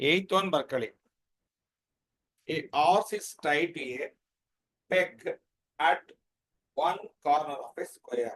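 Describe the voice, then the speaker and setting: A quiet voice with ordinary pitch variation and big swings in loudness. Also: man, fairly high pitch for a man. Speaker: maths teacher. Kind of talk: online class lecture. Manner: too quiet.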